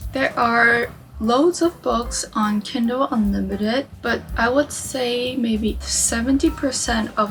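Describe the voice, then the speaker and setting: Music plays behind a woman who talks at a very slow pace with a non-native accent. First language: not English. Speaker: book YouTuber. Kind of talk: casual talk to camera.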